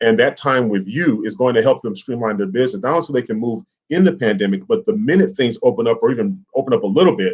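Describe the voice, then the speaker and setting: This man speaks very fast at a medium pitch. His intonation is lively. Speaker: small business owner. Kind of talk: interview.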